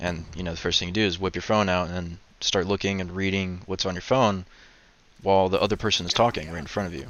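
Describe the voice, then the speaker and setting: Mumbling at a very fast pace, a man speaks in a very deep, low pitch with fairly even intonation. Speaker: video commentator. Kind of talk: casual vlog monologue. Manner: mumbling, stuttering; laid back.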